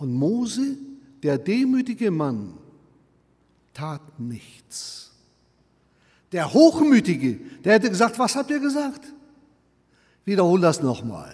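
A man's high-pitched voice at a very slow pace, with very wide pitch swings and long, frequent pauses. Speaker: preacher. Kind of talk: sermon. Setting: church. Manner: earnest, emphatic; fluent preaching delivery, firm and urgent.

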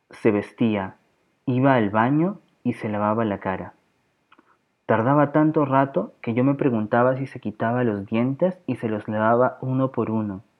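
Here a man talks at a fairly slow pace with medium pitch. His is an unremarkable speaking voice with ordinary pitch variation. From Peru, Lima. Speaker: podcast host. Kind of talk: reading aloud.

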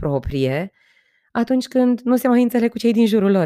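A woman speaks with lively intonation and a dark, mellow tone, recorded very cleanly against a silent background with a dry, close sound and no echo. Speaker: podcast host and trainer. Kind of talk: solo podcast monologue. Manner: talkative.

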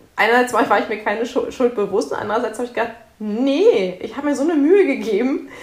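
With audible room echo around her, a woman talks at a fairly quick pace in a fairly high pitch. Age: 30s. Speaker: author and social worker, mother. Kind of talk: interview.

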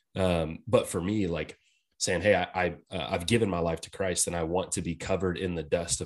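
A man with an American accent speaks at a very deep, low pitch with fairly even intonation. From Texas. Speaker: podcast co-host. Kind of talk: casual chat.

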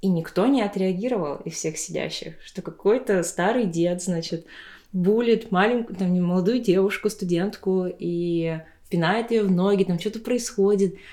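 A dark, mellow tone with a Tuvan accent and ordinary pitch variation. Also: woman, medium pitch for a woman, moderate pace. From Tuva, Russia. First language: Tuvan (speaking Russian). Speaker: podcast host. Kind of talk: casual chat. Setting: at a friend's home.

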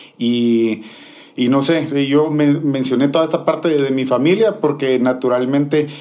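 This man talks at a fairly slow pace with ordinary pitch variation, in an ordinary speaking voice. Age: 30s. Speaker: DJ. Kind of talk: casual interview.

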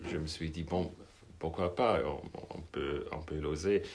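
Here a man speaks with a German accent. Audible room echo surrounds his voice. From Switzerland. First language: German (speaking French). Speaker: novelist. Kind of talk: interview.

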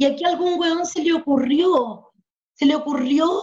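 A woman's extremely high voice with fairly even intonation. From southern Chile, Mapuche. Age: 50s. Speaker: community activist. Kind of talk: casual chat.

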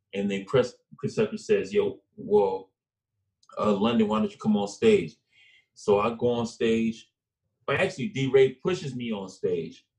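A man with a medium pitch and a somewhat breathy voice speaks at a moderate pace. His pitch swings very widely, and he takes long, frequent pauses. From South Central LA. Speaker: actor and comedian. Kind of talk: casual interview chat. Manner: animated.

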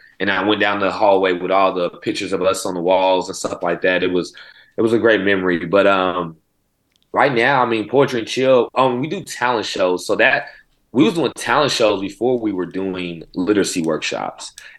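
In a normal speaking voice with an American accent, a man talks at a moderate pace, his fairly low pitch showing ordinary pitch variation. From Oklahoma City. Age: 30s. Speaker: poetry program founder and educator. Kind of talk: interview conversation.

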